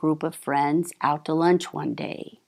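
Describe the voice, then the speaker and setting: At a fairly slow pace, a woman speaks in a very clean recording with a silent background. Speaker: divorce attorney and mediator. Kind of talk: interview answer.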